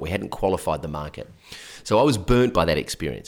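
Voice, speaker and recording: In a very clean recording with a silent background, a man with an Australian accent talks at a very fast pace with lively intonation. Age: 40s. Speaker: business coach. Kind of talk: interview. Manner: casual.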